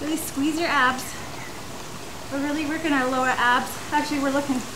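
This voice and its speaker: The voice belongs to a woman, heard over noticeable background noise. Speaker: fitness instructor. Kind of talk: tutorial. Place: garden.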